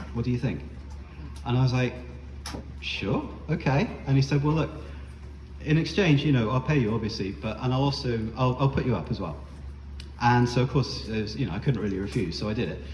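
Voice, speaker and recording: Audible room echo fills the space as a man with a British accent speaks at medium pitch with very wide pitch swings. His pace is fairly quick, broken by long, frequent pauses. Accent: non-American, British. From UK. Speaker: spoken word performer. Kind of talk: storytelling performance. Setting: bar stage with audience. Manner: casual, many fillers and hesitations.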